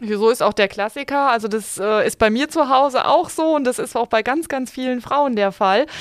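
A woman speaks at a high pitch and a moderate pace. She uses ordinary pitch variation and hardly any pauses. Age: 40s. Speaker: bank financial advisor. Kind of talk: casual chat.

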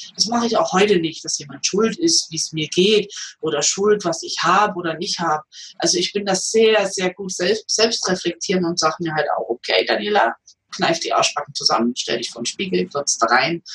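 A woman talks at a fairly quick pace with lively intonation. Hers is an ordinary speaking voice. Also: medium pitch for a woman. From eastern Germany. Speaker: comedian and massage therapist. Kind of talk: interview.

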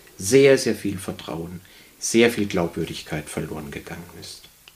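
With noticeable background noise behind him, a man speaks at a fairly slow pace in a fairly low pitch. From Baden, near Bruchsal (southwest Germany). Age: 60s. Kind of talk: interview. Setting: studio.

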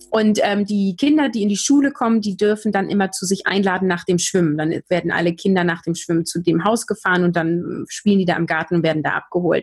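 The speaker goes at a very fast pace, somewhat breathy, with ordinary pitch variation. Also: woman, medium pitch for a woman, hardly any pauses. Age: 30s. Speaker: communication trainer and podcaster. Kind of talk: interview.

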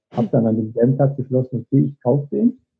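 A man talks fairly quickly in an ordinary speaking voice, medium in pitch with ordinary pitch variation. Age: 40s. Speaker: motivational coach and author. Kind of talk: interview.

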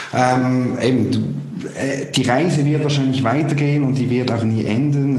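A man speaks at a fairly slow pace amid noticeable background noise and audible room echo. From Switzerland. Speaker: podcast host. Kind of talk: interview. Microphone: poor sound quality.

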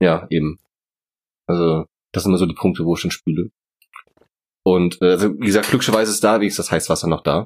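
Very deep and low, this man's voice runs at a very fast pace with fairly even intonation. Long pauses break up his speech frequently. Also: dry, close sound with no echo. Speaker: podcast co-host. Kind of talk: casual chat.

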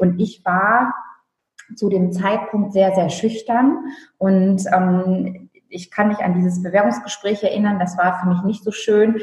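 Very slowly, a woman speaks in a somewhat breathy, medium-pitched voice with ordinary pitch variation. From northern Germany (Friesland). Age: 30s. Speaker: stylist and image consultant. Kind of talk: casual interview.

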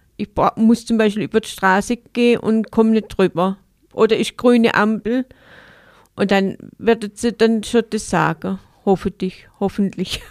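Speaking at a fairly slow pace, a woman with a fairly high pitch keeps a fairly even intonation and leaves long, frequent pauses. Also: dry, close sound with no echo. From Baden-Württemberg, Enzkreis (Königsbach). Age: 50s. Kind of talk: interview. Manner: halting.

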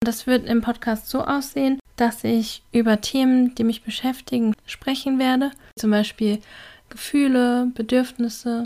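Her high voice has a dark, mellow tone as the woman speaks at a fairly slow pace in a monotone, flat intonation. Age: 30s. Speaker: podcast host, self-development coach. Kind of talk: solo podcast monologue.

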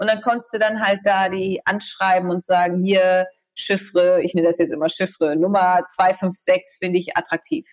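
In an unremarkable speaking voice, a woman talks at a medium pitch and a moderate pace with fairly even intonation. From East Frisia, northern Germany. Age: 30s. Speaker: TV presenter, journalist and coach. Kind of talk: casual chat.

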